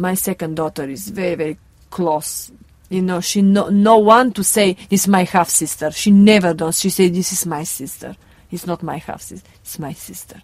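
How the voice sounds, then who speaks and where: In a Bulgarian accent, a woman with a medium pitch and ordinary pitch variation speaks at a moderate pace, with big swings in loudness. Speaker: circus performer. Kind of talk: interview.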